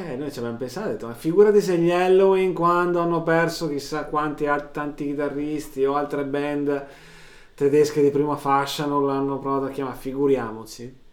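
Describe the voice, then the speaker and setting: A man talks at a fairly quick pace with a fairly high pitch and ordinary pitch variation, with audible room echo around him. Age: middle-aged. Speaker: podcast co-host and sound technician. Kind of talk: casual chat.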